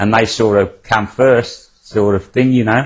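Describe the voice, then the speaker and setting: A man with a strong Australian accent speaks at a moderate pace in a medium pitch. His voice is somewhat breathy, and his intonation stays flat and monotone. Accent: broad Australian. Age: 70s. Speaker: greyhound trainer. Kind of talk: TV interview. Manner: halting, casual.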